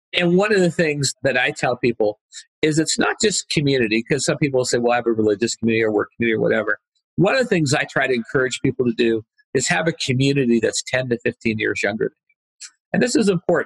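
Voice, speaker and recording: A man at medium pitch, animated and somewhat breathy, very fast, with big swings in loudness and lively intonation. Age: 60s. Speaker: entrepreneur and author. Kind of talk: podcast interview. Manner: animated storytelling.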